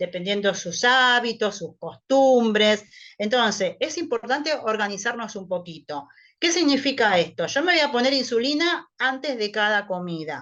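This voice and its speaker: Her pitch fairly high, a woman speaks at a fairly slow pace with very wide pitch swings. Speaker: nutritionist. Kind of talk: online talk to patients.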